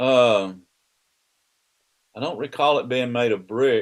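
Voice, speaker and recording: A man speaks with a Southern US accent at a medium pitch. Behind him the background is quiet. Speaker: father of the host, Army veteran. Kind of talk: casual interview about his life. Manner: halting, many restarts.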